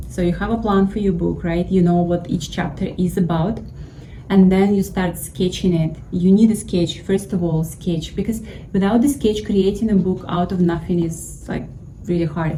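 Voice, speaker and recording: A woman with a Russian accent speaks at a moderate pace and a medium pitch with fairly even intonation, amid noticeable background noise and audible room echo. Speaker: YouTuber giving money advice. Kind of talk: casual tutorial.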